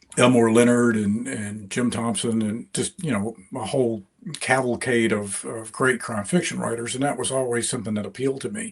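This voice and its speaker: A man's intonation stays fairly even as he talks at a moderate tempo. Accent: slight Deep South. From US South, rural East Mississippi. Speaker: crime fiction author. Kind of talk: interview. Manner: halting, many fillers and repeats.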